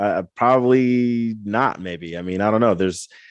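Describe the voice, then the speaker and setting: A man speaks in a Midwestern American accent at medium pitch. His pitch variation is ordinary and the background is quiet. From northeast Indiana (Angola). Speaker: podcast host. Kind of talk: casual interview conversation.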